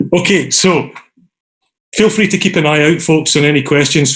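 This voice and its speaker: A somewhat breathy voice in a Scottish accent, with ordinary pitch variation. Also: man. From Scotland. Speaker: design academic, meetup organiser. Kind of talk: online meeting facilitation. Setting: video call. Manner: casual, filler-heavy.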